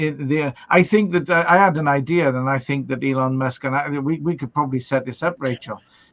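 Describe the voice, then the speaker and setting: A man with a Welsh accent talks at a fairly high pitch and a moderate pace. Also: hardly any pauses. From Wales. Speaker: livestream host. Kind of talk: casual chat. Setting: live stream. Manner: animated.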